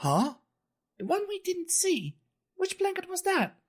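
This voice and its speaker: This is a put-on character voice, squeaky and extremely high in pitch. It moves at a fairly slow pace. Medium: audio drama. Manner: enthusiastic, inquisitive.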